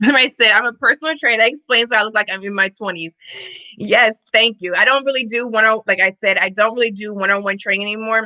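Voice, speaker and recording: A woman with an American accent at a very fast pace, fairly high in pitch, animated, with a bright, sharp tone and a dry, close sound with no echo. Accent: Missouri accent, noted by others. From Missouri, US Midwest. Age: 30s. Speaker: fitness and wellness coach. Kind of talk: casual livestream chat. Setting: live stream.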